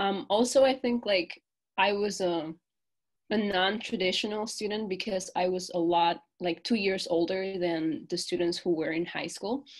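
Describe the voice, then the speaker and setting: With a Spanish accent, a woman speaks at a medium pitch. Her pace is moderate and her pitch varies in an ordinary way. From Peru. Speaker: college student. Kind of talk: interview. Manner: hesitant, many fillers.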